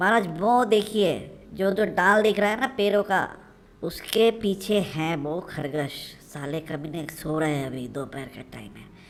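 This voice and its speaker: A female-sounding cartoonish character voice sits at a middle pitch. It moves at a moderate pace. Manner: fawning then mocking.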